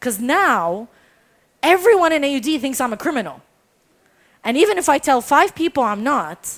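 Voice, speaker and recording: In a very clean recording with a silent background, a loud, high-pitched woman speaks at a moderate pace in an animated tone, with very wide pitch swings and long, frequent pauses. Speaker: storyteller. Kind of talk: storytelling performance.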